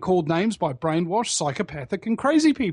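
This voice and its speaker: A man speaks with a New Zealand accent. His high pitch swings very widely. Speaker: internet talk show host and activist. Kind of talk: casual interview chat. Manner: halting, many fillers and repeats.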